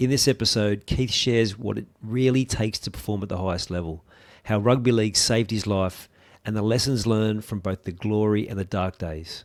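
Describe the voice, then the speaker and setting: The speaker has an Australian accent and moves at a fairly quick pace. Pitch varies in an ordinary way. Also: man, fairly low pitch for a man, very clean recording, silent background. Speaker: podcast host. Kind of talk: scripted intro.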